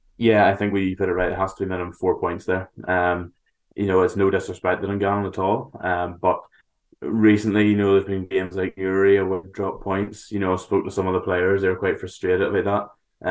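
Speaking at a fairly quick pace over a quiet background, a man with a Northern Irish accent talks in a very deep, low voice with monotone, flat intonation. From Northern Ireland, County Antrim. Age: 20s. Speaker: football commentator and writer. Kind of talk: casual chat.

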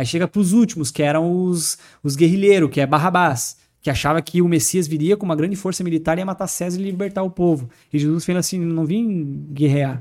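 A man's high-pitched voice at a fairly quick pace, ordinary pitch variation, on a very clean recording with a silent background. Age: 30s. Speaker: former tattoo artist turned evangelical speaker. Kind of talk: casual chat.

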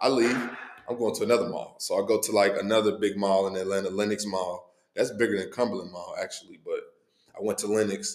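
Fairly quick delivery from a man with an American accent. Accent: Midwestern US, urban vernacular. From Cincinnati, Ohio (east side). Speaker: rapper. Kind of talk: casual chat.

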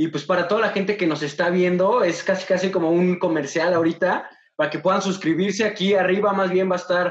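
A man with a Mexican accent speaks at a fairly quick pace. His voice is high-pitched. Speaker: podcast host. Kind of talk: casual interview. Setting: video call.

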